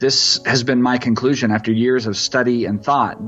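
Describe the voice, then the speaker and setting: Music plays in the background while a man with an American accent talks. He keeps a moderate pace and fairly even intonation. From East Texas. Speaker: pastor. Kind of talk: reading from his own book. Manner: prayerful, earnest.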